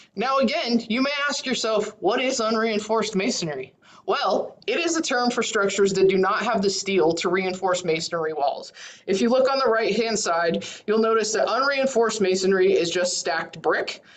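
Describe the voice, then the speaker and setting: A woman speaks in a fairly high, unremarkable speaking voice. Her intonation is lively. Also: moderate pace. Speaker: county emergency management coordinator. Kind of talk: presentation in online meeting.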